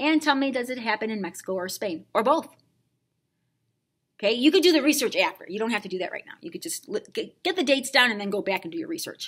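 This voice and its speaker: A woman talks in a high pitch that swings very widely up and down. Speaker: Spanish teacher. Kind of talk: tutorial. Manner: slurring words.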